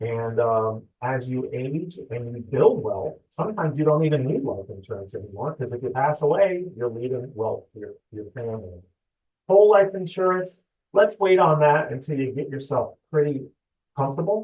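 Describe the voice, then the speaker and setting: A man with a fairly high voice whose pitch swings very widely. His loudness also rises and falls a great deal. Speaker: loan officer. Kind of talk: webinar presentation. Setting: online webinar. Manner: fast.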